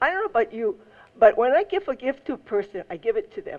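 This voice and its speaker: In a Hawaiian accent, a woman with a high pitch speaks at a moderate pace, her pitch swinging very widely. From Hawaii, Maui. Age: 70s. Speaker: resident testifying at public hearing. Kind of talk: public testimony. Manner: halting, with many fillers.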